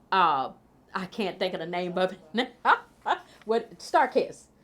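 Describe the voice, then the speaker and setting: A woman with a Mississippi accent, fairly low pitch and lively intonation, on a very clean recording with a silent background. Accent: Southern US (Mississippi). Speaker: food policy council chair. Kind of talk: interview answer. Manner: casual, hesitant.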